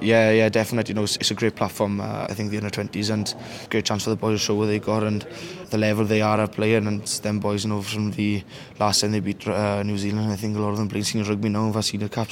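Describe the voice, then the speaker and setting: Over noticeable background noise, a man talks at a very fast pace in a fairly low, monotone voice with flat intonation. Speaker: under 20s rugby captain. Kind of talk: post-match interview.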